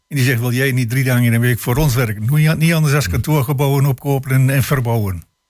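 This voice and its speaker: Talking at a very fast pace with hardly any pauses, a man with a medium-pitched, somewhat breathy voice keeps his loudness very even and his pitch variation ordinary. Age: 80s+. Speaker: retired local politician. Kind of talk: radio panel discussion. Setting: studio. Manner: halting.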